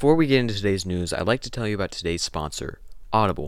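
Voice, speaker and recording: On a very clean recording with a silent background, a man speaks in a normal speaking voice at a fairly low pitch with lively intonation. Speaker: podcast host. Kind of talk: sports news reading. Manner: brisk, clipped headline-style delivery.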